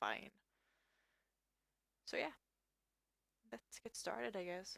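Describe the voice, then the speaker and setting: The speaker is a woman. She has a non-native accent. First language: not English. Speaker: artist. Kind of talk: tutorial. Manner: halting.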